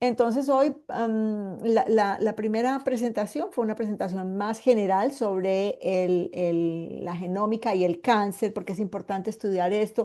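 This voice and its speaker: A woman in a paisa accent with a dark, mellow tone, fairly slow pace and ordinary pitch variation. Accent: paisa (Medellín). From Colombia, Medellín. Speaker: medical geneticist, cancer survivor. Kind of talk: online lecture. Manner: hesitant, many fillers.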